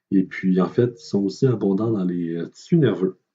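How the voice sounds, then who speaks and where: His tone is dark and mellow. The man speaks at a fairly slow pace. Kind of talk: educational lecture narration. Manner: hesitant, many filler words.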